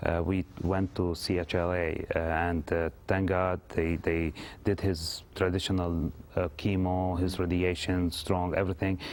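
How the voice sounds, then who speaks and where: On a very clean recording with a silent background, a man with an Arabic accent speaks at a very deep, low pitch and a fairly slow pace, with monotone, flat intonation and very even loudness. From Lebanon. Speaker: actor. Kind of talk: TV interview. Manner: halting, many fillers.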